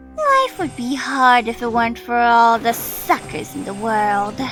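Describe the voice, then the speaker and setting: A female-sounding put-on character voice, fairly high in pitch, at a moderate pace over clear background music. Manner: sweet, wheedling.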